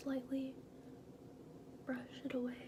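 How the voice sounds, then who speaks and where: Soft-spoken and calm in tone, a woman speaks at a very slow pace over noticeable background noise. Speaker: ASMR artist doing a makeup artist roleplay; makeup tutorial host. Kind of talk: makeup artist roleplay narration to the viewer. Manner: soft, calm, slow. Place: bathroom. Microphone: phone near.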